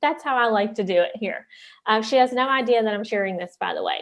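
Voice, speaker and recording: With a Southern West Virginia accent, a woman talks at a fairly high pitch with ordinary pitch variation. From US South, southern West Virginia. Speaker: life coach and entrepreneur. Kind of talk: conference talk.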